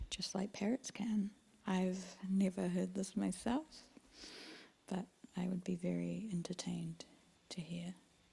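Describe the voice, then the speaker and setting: Soft-spoken and somewhat breathy, a woman talks at a fairly slow pace in a dark, mellow, gentle, calm tone, with medium pitch and ordinary pitch variation. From New Zealand. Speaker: ASMR creator. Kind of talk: ASMR soft-spoken talk. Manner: soft-spoken, gentle, calm.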